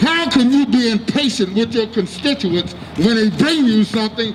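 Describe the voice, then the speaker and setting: At a fairly slow pace, a man with an American accent speaks at a high pitch with lively intonation against noticeable background noise. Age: 60s. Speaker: activist speaker. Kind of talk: rally speech. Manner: impassioned.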